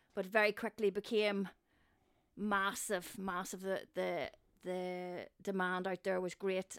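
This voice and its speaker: A woman's voice at a medium pitch and fairly slow pace, with a Northern Irish accent, in a dry, close sound with no echo and a very clean recording with a silent background. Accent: Northern Irish (Newry). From Northern Ireland, Newry. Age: 50s. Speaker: theatre set and props designer. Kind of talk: casual chat.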